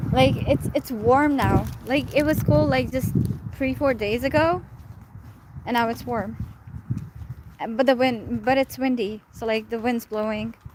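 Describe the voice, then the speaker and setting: A woman with a Pakistani accent and fairly high pitch, speaking at a fairly slow pace with ordinary pitch variation and long, frequent pauses, over noticeable background noise. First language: Urdu. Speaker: live streamer. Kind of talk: casual chat. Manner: rambling, many fillers.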